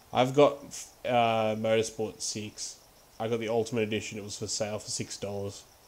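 An Australian man speaks at a medium pitch and a moderate pace, with monotone, flat intonation. His loudness swings widely. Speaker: gaming livestreamer. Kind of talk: live game stream chat. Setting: home livestream setup. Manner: casual, frequent laughter.

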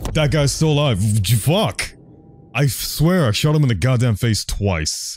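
A somewhat breathy man talks at a fairly slow pace, his loudness very even while his pitch swings very widely. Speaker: gaming let's play commentator. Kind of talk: casual gameplay commentary.

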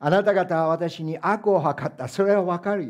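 A man is speaking at a moderate pace. Behind him, the background stays quiet. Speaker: pastor. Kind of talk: sermon. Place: church.

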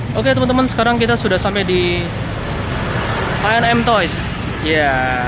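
A man's voice, dry with no echo, under loud background noise. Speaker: diecast collector vlogger. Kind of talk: casual vlog chat. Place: street. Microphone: phone near.

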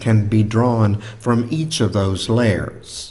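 Speaking at a very slow pace, a man talks. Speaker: preacher. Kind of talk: sermon. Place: church. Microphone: studio mic.

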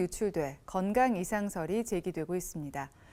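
Moving at a moderate pace, a woman's dark, mellow voice makes very wide pitch swings on a very clean recording with a silent background. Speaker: news anchor. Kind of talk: TV news read.

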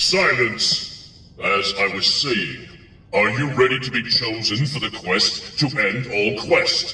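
A man's medium-pitched voice at a fairly slow pace, with ordinary pitch variation and a slight echo. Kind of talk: mock-epic fantasy pronouncement. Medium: comedy sketch. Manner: grandiose, mocking.

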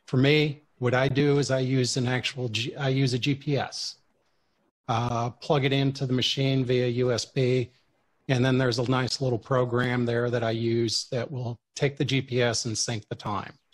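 A man speaks in a somewhat breathy, monotone voice with flat intonation. His pace is fairly slow, and the background is quiet. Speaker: radio presenter. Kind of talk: lecture. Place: home room.

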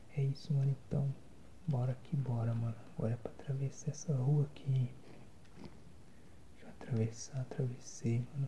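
A man talks in a monotone, flat intonation over noticeable background noise. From Brazil. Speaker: ASMR and gaming content creator. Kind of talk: casual talk to camera while gaming. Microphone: phone near.

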